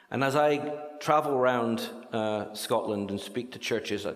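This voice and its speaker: The room echo is audible. A man does the talking. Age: 60s. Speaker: charity speaker. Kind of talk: church talk.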